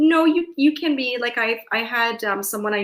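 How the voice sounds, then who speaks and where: A woman speaks at a moderate pace with ordinary pitch variation in a very clean recording with a silent background. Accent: Canadian. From Canada, London, Ontario. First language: Hungarian. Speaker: veterinary technician and podcaster. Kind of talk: casual interview chat.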